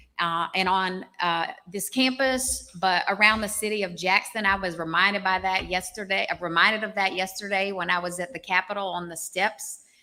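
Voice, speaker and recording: With a Southern US accent, a woman speaks at a moderate pace and medium pitch, her tone bright and sharp and her intonation fairly even, in a very clean recording with a silent background. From US South, Arkansas. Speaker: public health professor. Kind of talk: public speech.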